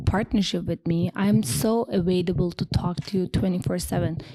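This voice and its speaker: A moderate pace in a Turkish accent. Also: woman. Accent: foreign accent (Turkish). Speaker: home stager and interior designer. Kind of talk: podcast interview.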